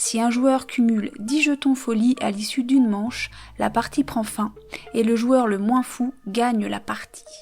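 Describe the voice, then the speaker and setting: Over noticeable background noise, a woman talks at a high pitch with fairly even intonation. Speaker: board game youtuber. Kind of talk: reading aloud.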